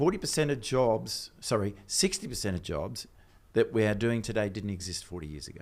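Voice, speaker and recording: A man with an Australian accent talks at a fairly quick pace. His pitch is fairly low and his intonation lively. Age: 60s. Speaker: technology strategist. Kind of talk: casual chat.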